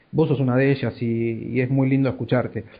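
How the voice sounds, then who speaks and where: With an Argentine accent, a man at a medium pitch speaks at a fairly quick pace in a monotone, flat intonation. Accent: Argentine Spanish (Rioplatense). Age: 40s. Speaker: podcast host, communications professional. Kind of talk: interview. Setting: Skype call.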